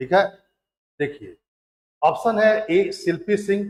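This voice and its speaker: The speaker is male. His voice comes through close and dry, without any echo. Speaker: exam coaching teacher. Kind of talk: lecture. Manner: slow.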